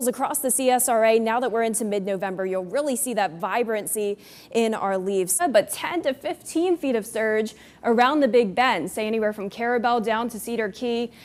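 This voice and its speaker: A woman speaks in a normal speaking voice at a fairly high pitch. Her pace is fairly quick, with ordinary pitch variation. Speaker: TV meteorologist. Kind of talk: TV weather broadcast.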